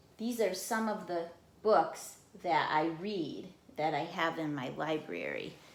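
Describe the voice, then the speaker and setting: Amid audible room echo, a woman talks at a fairly slow pace and a fairly low pitch with ordinary pitch variation. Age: 60s. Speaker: vlogger. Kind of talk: personal monologue.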